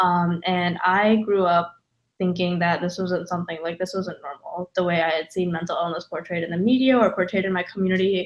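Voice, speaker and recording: In an American accent, a woman with an unremarkable speaking voice talks at a fairly quick pace, her fairly low pitch held in fairly even intonation. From US South, North Carolina. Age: 20s. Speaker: mental health advocate. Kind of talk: personal testimony.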